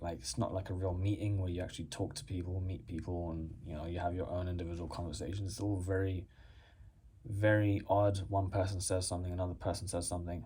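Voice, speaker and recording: A man speaks with a very deep, low pitch, a somewhat breathy quality and a dark, mellow tone. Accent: English. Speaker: postgraduate student and YouTuber. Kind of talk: casual vlog response to a viewer question. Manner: casual, hesitant with many fillers.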